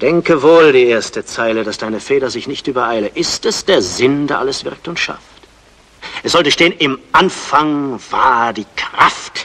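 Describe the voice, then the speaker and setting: A man talks fairly slowly with ordinary pitch variation. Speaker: actor playing a scholar. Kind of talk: theatrical monologue in verse. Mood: brooding, searching. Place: stage.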